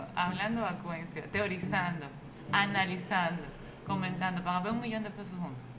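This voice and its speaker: A woman speaks at a medium pitch in a Dominican accent. Noticeable background noise and audible room echo fill the recording. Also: fairly even intonation, moderate pace. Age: 30s. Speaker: comedian and media personality. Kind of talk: casual chat. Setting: Punta Cana.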